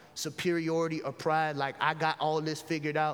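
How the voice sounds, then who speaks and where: With noticeable background noise behind him, a man with a fairly high pitch speaks at a moderate pace. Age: 40s. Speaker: pastor. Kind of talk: closing sermon appeal, intimate pastoral exhortation leading into prayer. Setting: church. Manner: earnest, conversational with rhetorical repetition; casual, colloquial banter.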